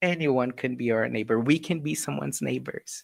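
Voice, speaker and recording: A man speaks in an unremarkable speaking voice at a fairly high pitch. His pace is fairly slow, with ordinary pitch variation. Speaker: spiritist lecturer. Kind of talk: lecture. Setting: live stream.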